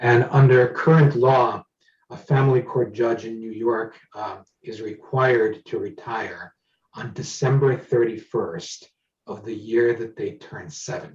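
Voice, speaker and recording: A man speaks at a fairly slow pace in a somewhat breathy voice, with big swings in loudness. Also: medium pitch for a man. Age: 60s. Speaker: judicial candidate and lawyer. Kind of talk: candidate forum interview.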